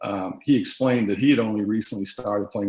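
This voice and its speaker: A man with a strong Boston accent speaks at a very fast pace with fairly even intonation. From US Northeast, Boston. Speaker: former basketball teammate. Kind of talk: documentary interview.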